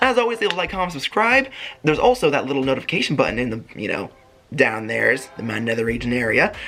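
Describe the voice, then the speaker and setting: A man speaking at a very fast pace over background music. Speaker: YouTuber reviewing a TV show. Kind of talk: casual video recap. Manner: mumbling at times.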